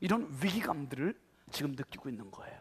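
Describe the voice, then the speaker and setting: A man's pitch swings very widely in a very clean recording, the background silent. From Korea, Chungcheong region. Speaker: pastor. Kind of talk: sermon. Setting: church.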